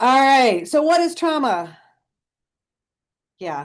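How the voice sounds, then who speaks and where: Over a quiet background, a woman speaks. Her pitch swings very widely. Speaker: social work professor. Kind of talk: webinar presentation. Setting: video call. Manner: fast.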